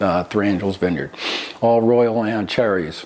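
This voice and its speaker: A man speaks with an American accent at a moderate pace. His pitch sits in the medium range. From US Northeast, Philadelphia area. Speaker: vineyard owner. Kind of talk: oral history interview. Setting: vineyard. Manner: halting, many fillers.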